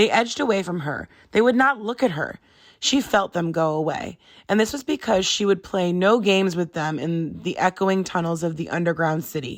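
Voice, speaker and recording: A woman puts on a raspy character voice at a medium pitch, with lively intonation and a moderate pace, in a very clean recording with a silent background. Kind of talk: read-aloud storytelling. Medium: read story. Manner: measured, gentle.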